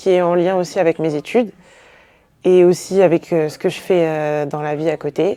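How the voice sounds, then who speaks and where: A woman speaks at a moderate pace in a fairly low voice, her tone dark and mellow. The sound is dry and close with no echo, and her intonation stays fairly even. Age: 20s. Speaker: beauty pageant contestant, nursing student. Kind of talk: interview.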